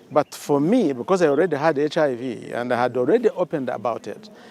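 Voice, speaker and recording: Over noticeable background noise, a man with a fairly high pitch speaks at a moderate pace and with lively intonation. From Uganda, Kigezi region. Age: 70s. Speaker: retired army officer. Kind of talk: interview testimony. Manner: halting, many repetitions.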